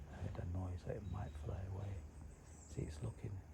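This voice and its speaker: The words come in a whisper at a moderate pace. Behind them, background noise is noticeable. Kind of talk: casual nature commentary while filming. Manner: whispered.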